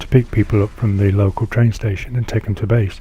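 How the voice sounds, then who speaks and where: A man with a British accent speaks at a fairly quick pace in a medium pitch, his intonation fairly even. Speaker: Air Force veteran. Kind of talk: personal video monologue.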